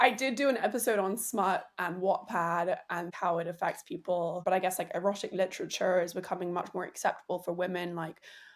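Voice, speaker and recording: On a very clean recording with a silent background, a woman with a medium pitch and ordinary pitch variation speaks at a fairly quick pace with hardly any pauses. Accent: English. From England. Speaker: podcast host. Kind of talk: casual chat.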